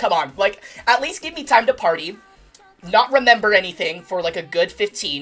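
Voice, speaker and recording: Noticeable background noise sits behind a woman's voice. Her pitch is fairly high and her pace moderate. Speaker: gaming streamer. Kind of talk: casual chat. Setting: livestream. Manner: loud; animated.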